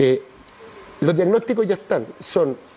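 The man speaks with lively intonation. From Chile. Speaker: city councillor. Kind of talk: TV interview. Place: studio. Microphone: lapel.

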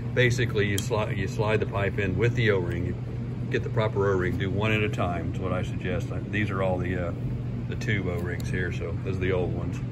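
Loud background noise behind a man talking at a fairly quick pace. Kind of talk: tutorial. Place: garage. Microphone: phone near.

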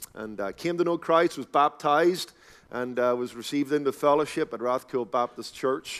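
A man speaks in a Northern Irish accent at a moderate pace. His pitch varies in an ordinary way, and the background is quiet. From Northern Ireland, Belfast. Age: 40s. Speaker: pastor. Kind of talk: sermon. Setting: conference stage with audience. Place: hall. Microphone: headset.

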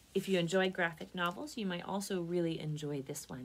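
Her voice is somewhat breathy as this woman talks. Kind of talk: read-aloud storytelling. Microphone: phone near.

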